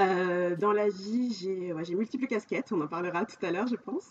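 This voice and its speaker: Her intonation is lively and her pace moderate. The woman has medium pitch and a normal speaking voice. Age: 40s. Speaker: life coach. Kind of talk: podcast interview.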